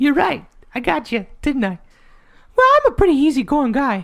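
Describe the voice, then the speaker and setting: A man puts on a character voice, pitched extremely high, and delivers it at a moderate pace. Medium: actual play. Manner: easygoing, folksy.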